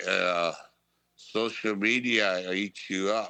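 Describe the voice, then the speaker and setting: Against a quiet background, a man speaks with a bright, sharp tone. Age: 70s. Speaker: retired pro wrestler. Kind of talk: casual chat. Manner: halting.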